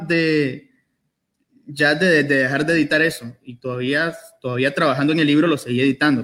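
Moderate pacing from a man with a fairly high voice. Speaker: poet. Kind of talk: book presentation interview. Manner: halting.

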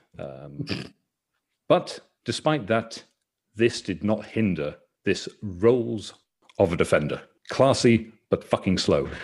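A man at a very slow pace, fairly low in pitch, with vocal fry, very wide pitch swings and long, frequent pauses. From Northern Ireland. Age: 30s. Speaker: podcast host, football fan. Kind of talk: casual chat about football. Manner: animated, swears casually.

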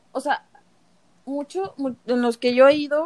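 A woman with a Mexican accent at a fairly slow pace. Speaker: podcast host. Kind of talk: casual interview.

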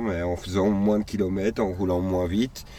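A man talks in a very deep, low voice, and his intonation stays fairly even. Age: 40s. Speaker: nomadic cyclist traveller. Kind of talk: interview. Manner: halting.

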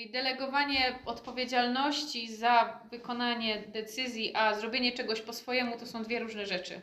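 A woman speaks in a high, monotone, flat voice with hardly any pauses, her loudness swinging widely over noticeable background noise. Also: moderate pace. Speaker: interpreter. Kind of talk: interpreting.

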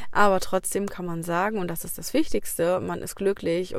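Here a woman with a normal speaking voice talks at a fairly slow pace with ordinary pitch variation. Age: 30s. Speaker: podcaster, teacher on parental leave. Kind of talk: casual personal monologue. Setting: in a car. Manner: chatty, with many fillers.

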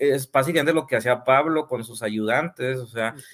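A man with an unremarkable speaking voice and medium pitch talks at a fairly quick pace. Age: 30s. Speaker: part-time pastor and civil engineer. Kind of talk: casual chat. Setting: live stream.

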